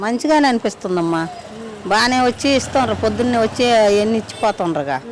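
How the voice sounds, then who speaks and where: There is noticeable background noise as a woman speaks. Her pitch is fairly high and her intonation is lively. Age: 60s. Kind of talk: street interview answer.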